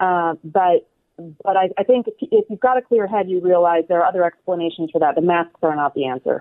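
A woman with a plain, everyday voice at medium pitch, ordinary pitch variation and a fairly quick pace. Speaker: opinion writer. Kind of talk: interview. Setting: video call.

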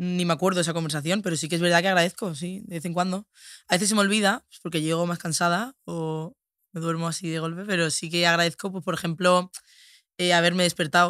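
A woman's fairly low voice, fairly quick and fairly even in intonation, dry and close with no echo on a very clean recording with a silent background. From Spain, Andalusia (Seville). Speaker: influencer. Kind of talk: casual chat.

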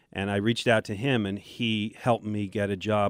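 Recorded very cleanly against a silent background, a man with a normal speaking voice and an American accent talks at a fairly slow pace in a fairly low pitch. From Buffalo, New York. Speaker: sports radio host and former newspaper reporter. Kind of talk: casual interview storytelling.

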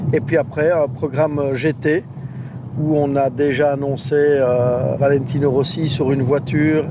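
A man's fairly high, monotone voice at a fairly slow pace, flat in intonation and very even in loudness, over noticeable background noise. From Belgium, Verviers. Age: 50s. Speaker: motorsport director. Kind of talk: interview.

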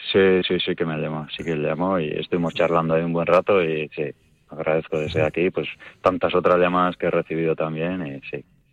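The speaker talks at a fairly quick pace in a monotone, flat delivery. The sound is dry and close, with no echo. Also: man, very deep, low pitch for a man. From Basque Country, Spain. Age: 30s. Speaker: hunting champion. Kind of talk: radio interview.

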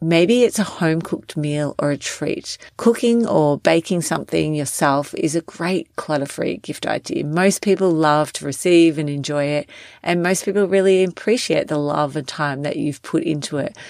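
Speaking at a moderate pace with hardly any pauses, a woman with an Australian accent has a very deep, low pitch and ordinary pitch variation, on a very clean recording with a silent background. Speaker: wellness and organizing coach, podcast host. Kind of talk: solo podcast tips episode.

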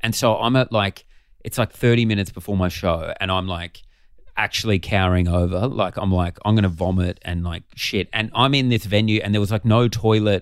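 In an Australian accent, a man with a fairly low pitch talks at a fairly quick pace with fairly even intonation, on a very clean recording with a silent background. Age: 30s. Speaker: comedian. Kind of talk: casual chat.

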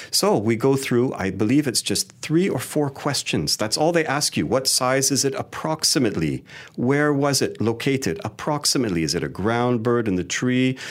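A man with an ordinary speaking voice, lively intonation, moderate pace and hardly any pauses. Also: medium pitch for a man. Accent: Canadian. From Canada. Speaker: wildlife photographer and educator. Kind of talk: interview.

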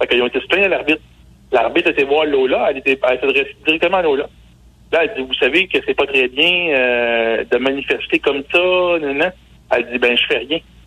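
At a fairly quick pace, a man talks with very even loudness. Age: 40s. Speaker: sports journalist. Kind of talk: radio sports segment. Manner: halting.

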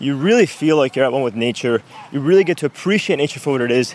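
A man speaks very fast at a fairly high pitch with ordinary pitch variation. The sound is dry and close with no echo, though background noise is noticeable. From Venezuela. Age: 20s. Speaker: fitness coach. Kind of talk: casual chat.

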